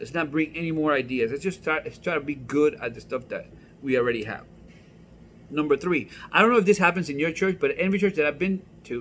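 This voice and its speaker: Speaking with a non-native accent, a man with a fairly high voice races along at a very fast pace in an animated tone and lively intonation, stopping for long, frequent pauses. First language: not English. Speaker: pastor. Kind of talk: comedic church vlog. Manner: casual, conversational.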